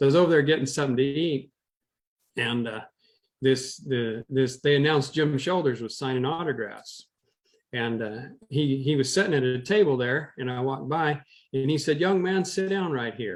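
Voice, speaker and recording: This man has an unremarkable speaking voice, pitched fairly high, with ordinary pitch variation. He talks at a moderate pace. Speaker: former rodeo cowboy, historian, auctioneer. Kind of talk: interview storytelling.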